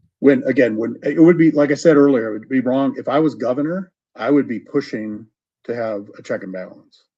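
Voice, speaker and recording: A man with an American accent speaks in a normal speaking voice at a fairly high pitch, with ordinary pitch variation. His pace is fairly quick, with big swings in loudness. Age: 60s. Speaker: retired judge running for office. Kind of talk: radio interview.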